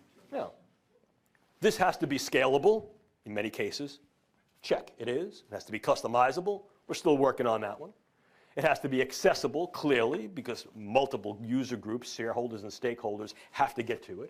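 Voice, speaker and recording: Speaking with a New York accent, a man at a medium pitch talks fairly quickly with lively intonation, big swings in loudness and long, frequent pauses. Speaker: neuroscience professor. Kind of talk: lecture. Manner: formal.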